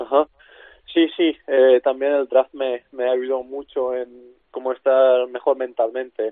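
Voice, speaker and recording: A man speaks at a medium pitch and a very slow pace, his intonation monotone and flat. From Czech Republic. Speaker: basketball player. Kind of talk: interview. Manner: halting.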